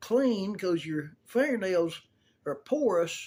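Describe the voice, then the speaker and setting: A man with a Southern US accent talks at a very slow pace, his intonation lively. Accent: US South. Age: 70s. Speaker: video blogger showing a grooming tip. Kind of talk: casual tutorial. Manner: folksy, rambling storytelling.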